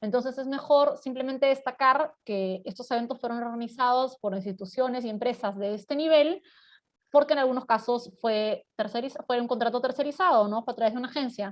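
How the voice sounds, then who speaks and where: Fairly quick speech from a woman, high in pitch, with ordinary pitch variation. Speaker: corporate communication and marketing expert. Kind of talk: webinar presentation.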